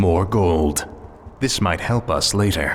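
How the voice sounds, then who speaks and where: A man puts on a character voice with a very deep, low pitch, talking at a fairly slow pace over clear background noise. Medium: video game.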